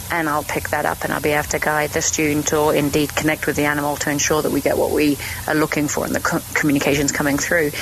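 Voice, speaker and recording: In a British accent, a woman speaks very fast at a very deep, low pitch, with monotone, flat intonation, very even loudness, hardly any pauses and noticeable background noise. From Germany, then England. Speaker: animal communicator. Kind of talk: podcast interview.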